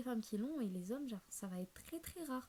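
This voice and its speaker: At a fairly quick pace, a woman speaks in a somewhat breathy voice with a dark, mellow tone. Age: 20s. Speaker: self-development YouTuber. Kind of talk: casual vlog talk. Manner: fast; hesitant, many fillers.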